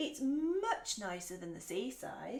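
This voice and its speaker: A woman uses a put-on character voice, fairly high in pitch with very wide pitch swings. She speaks at a fairly slow pace. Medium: read story.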